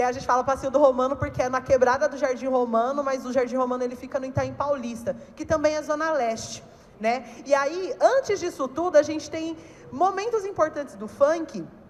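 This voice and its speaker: A woman at a high pitch with ordinary pitch variation and a fairly quick pace, over noticeable background noise. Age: 30s. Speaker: funk cultural organizer, panelist. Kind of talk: panel talk.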